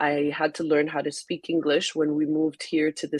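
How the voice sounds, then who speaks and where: The recording is dry and close with no echo, carrying a woman's very deep, low pitch. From Haiti. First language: French. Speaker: magazine founder and editor. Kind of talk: webinar interview. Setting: online webinar.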